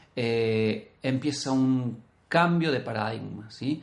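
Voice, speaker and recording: A man's medium-pitched voice with ordinary pitch variation and audible room echo. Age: 40s. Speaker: podcast co-host, language teacher. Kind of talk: casual discussion podcast.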